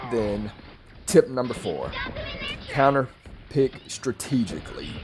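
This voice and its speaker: Noticeable background noise sits behind the voice. A man speaks fairly slowly at a medium pitch with ordinary pitch variation. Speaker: gaming youtuber. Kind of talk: casual tutorial. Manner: stuttering in places; conversational, filler-heavy.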